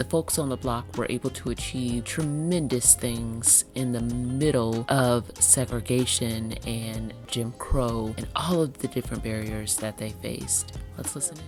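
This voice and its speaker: Over music in the background, a woman with a very deep, low pitch speaks at a fairly slow pace with lively intonation. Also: hardly any pauses. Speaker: podcast host. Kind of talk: podcast intro narration.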